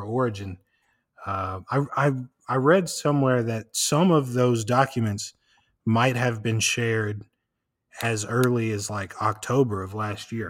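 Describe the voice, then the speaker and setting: A man with an American accent speaks at a fairly slow pace, with long, frequent pauses, at a medium pitch and ordinary pitch variation. The recording is very clean, with a silent background. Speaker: podcast host. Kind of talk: casual chat. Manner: rambling, many fillers.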